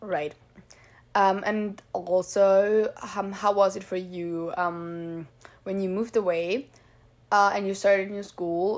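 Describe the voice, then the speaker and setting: With an Austrian accent, a woman speaks at a very slow pace. Her intonation stays monotone and flat. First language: German. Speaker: podcast host. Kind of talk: casual chat. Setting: remote call.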